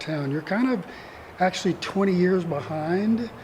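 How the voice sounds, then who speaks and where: Over noticeable background noise, a man with a Mississippi accent speaks high in pitch at a moderate pace. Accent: Southern US (Mississippi). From US South, northeast Mississippi. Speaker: retired attorney, community theatre actor. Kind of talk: interview conversation. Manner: soft-spoken.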